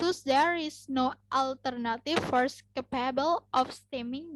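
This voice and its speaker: A woman with an Indonesian accent, high in pitch, at a fairly slow pace, in a dry, close sound with no echo. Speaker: university student. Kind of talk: class presentation. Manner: halting.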